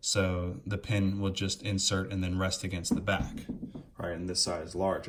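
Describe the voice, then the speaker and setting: At a moderate pace, a man with a fairly low pitch talks in a somewhat breathy voice with fairly even intonation. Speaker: RC car hobbyist. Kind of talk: step-by-step install tutorial.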